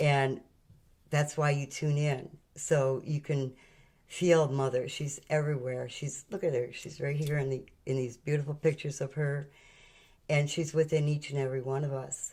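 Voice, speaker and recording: A woman speaks in a very deep, low pitch, somewhat breathy, at a moderate pace. Her intonation is monotone and flat. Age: 70s. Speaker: spiritual channel host. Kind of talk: spiritual talk.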